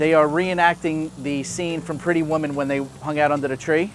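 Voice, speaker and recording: A man with a New York accent speaks at a moderate pace in a fairly high pitch, with ordinary pitch variation and music in the background. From Queens, New York. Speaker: cooking show host. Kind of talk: casual cooking show talk. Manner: joking, casual.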